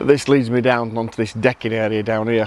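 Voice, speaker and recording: Noticeable background noise sits behind a man talking at a moderate pace and a medium pitch. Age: 60s. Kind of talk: casual talk to camera.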